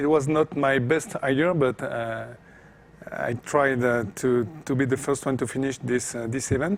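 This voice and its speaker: The speech has ordinary pitch variation and a fairly slow pace. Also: man, medium pitch for a man. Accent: French. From France. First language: French. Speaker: off-road racing driver. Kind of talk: interview. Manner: hesitant, many fillers.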